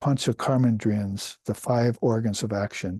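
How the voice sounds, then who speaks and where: A man's dark, mellow tone at a moderate pace, with fairly even intonation, a quiet background and a dry, close sound with no echo. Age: 70s. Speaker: spiritual teacher. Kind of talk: lecture. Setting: teaching with charts, filmed. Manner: halting.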